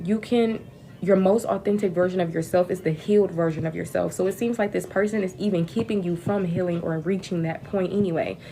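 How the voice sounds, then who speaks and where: With a dark, mellow tone and medium pitch, a woman talks at a fairly quick pace using fairly even intonation. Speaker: tarot reader. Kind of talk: live-stream card reading. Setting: livestream. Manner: fast.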